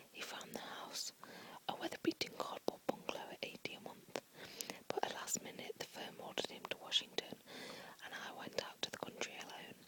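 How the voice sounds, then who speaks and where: With noticeable noise behind it, a whispering voice moves at a fairly quick pace. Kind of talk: whispered book reading for relaxation. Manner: whispered, soft.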